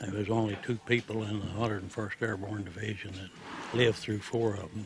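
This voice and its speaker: A man with an Oklahoma accent speaks at a fairly low pitch. His intonation is monotone and flat over noticeable background noise. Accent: Oklahoma Southern American. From Oklahoma, USA. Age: 80s+. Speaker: World War II paratrooper veteran. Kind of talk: interview answer.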